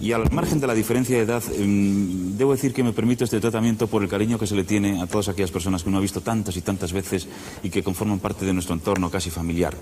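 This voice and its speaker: Over light background noise, a man with a fairly low pitch talks at a very fast pace with ordinary pitch variation. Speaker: TV interviewer. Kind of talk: TV talk show host introduction and questions. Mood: warm, respectful. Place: studio. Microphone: lapel.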